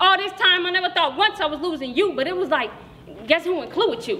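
A woman shouts in a raised, projected voice, furious, with an extremely high pitch and lively intonation. She speaks very fast over light background noise. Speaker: slam poet. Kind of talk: spoken word poetry slam performance. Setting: stage with audience. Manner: rhythmic, rhyme-driven delivery building from flirtatious to furious; confrontational, profane, defiant kiss-off tone. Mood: angry, scornful. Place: hall. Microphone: camera far.

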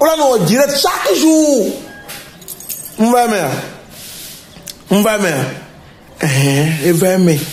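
A slightly mellow tone at a slow pace, with lively intonation, strong room echo and faint music in the background. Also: man.

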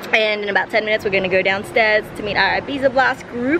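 A woman's voice with ordinary pitch variation amid noticeable background noise. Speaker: travel vlogger. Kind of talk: casual vlog chat. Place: street. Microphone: phone near.

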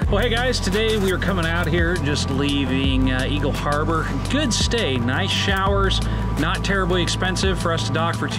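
Loud music plays in the background while the speech moves at a moderate pace. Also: man. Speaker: sailing vlogger. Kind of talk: casual vlog chat. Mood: relaxed, upbeat. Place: boat. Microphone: phone near.

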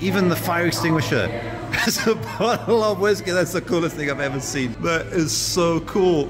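Clear music plays in the background as a man speaks at a moderate pace. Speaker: food vlogger. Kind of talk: casual vlog chat. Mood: delighted, enthusiastic. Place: cafe. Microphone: phone near.

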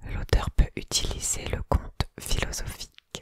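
A soft-spoken woman whispering at a very slow pace, dry with no echo, over noticeable background noise. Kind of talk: soft-spoken reading, ASMR-style. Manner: soft close-mic ASMR whisper. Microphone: studio mic.

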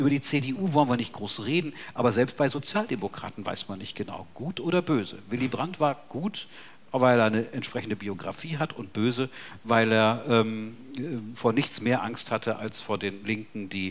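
Speaking at a moderate pace, a man uses lively intonation and a medium pitch, with big swings in loudness. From Bavaria. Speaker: sociology professor. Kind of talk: panel discussion. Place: hall.

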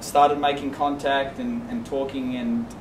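Over noticeable background noise, a man speaks fairly slowly with fairly even intonation. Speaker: teacher giving a presentation. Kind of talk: presentation to colleagues. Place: classroom. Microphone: camera far.

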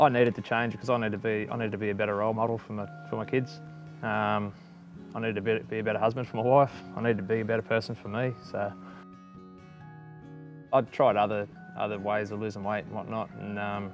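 With clear music in the background, a man with an Australian accent talks very fast in a fairly low pitch, his intonation fairly even, with long, frequent pauses and a dry sound with no echo. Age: 30s. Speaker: weight loss testimonial subject. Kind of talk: testimonial interview answer. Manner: casual, conversational, hesitant. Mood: reflective, calm. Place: garden. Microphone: lapel.

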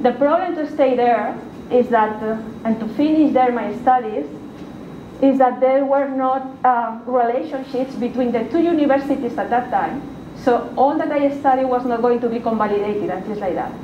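Noticeable background noise sits under a voice with a Spanish accent and ordinary pitch variation. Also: woman, high pitch for a woman, moderate pace. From Spain, Valencia. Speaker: university researcher and lecturer. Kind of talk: lecture. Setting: stage with audience. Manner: halting. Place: meeting room. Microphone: camera far.

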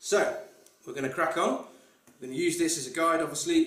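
The speaker keeps a fairly even intonation at a fairly quick pace, with audible room echo. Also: man. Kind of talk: tutorial. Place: home room. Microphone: camera far.

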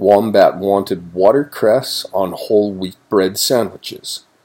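Simple, plain reading aloud

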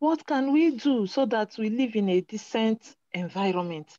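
With lively intonation, a woman speaks in a dry recording with no echo. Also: quiet background. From Nigeria. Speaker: environmental activist. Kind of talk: casual chat. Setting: video call. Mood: frustrated about waste problems. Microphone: video call.

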